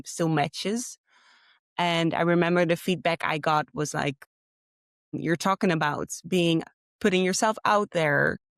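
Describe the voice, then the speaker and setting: On a very clean recording with a silent background and a dry, close sound with no echo, a woman speaks at a fairly slow pace. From Netherlands. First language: Dutch. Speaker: graphic design graduate. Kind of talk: interview.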